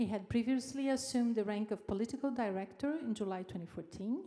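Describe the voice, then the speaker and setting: A woman speaks at a very fast pace in a dark, mellow tone. Her pitch variation is ordinary. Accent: Brazilian. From Brazil. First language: Portuguese. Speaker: event host at a university. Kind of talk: formal speaker introduction.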